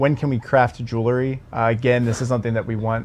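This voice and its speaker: With a slight Baltimore accent, a man speaks at a medium pitch in a monotone, flat way. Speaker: game community livestream host. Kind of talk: casual Q&A livestream.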